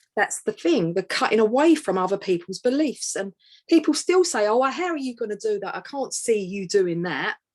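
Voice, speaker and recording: With an East London accent, a woman speaks at a fairly high pitch that moves in very wide swings. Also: moderate pace. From East End of London. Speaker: author and empowerment coach. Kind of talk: interview conversation.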